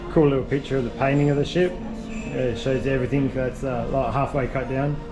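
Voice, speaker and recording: Fairly quick male speech with music playing in the background. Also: ordinary pitch variation. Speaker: travel vlogger. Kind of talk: casual talk to camera. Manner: high-pitched.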